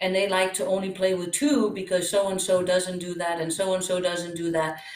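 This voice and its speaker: Audible room echo surrounds the voice. The woman keeps a medium pitch. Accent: Danish. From Denmark. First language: Danish. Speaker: pickleball coach and former tennis pro. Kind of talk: interview.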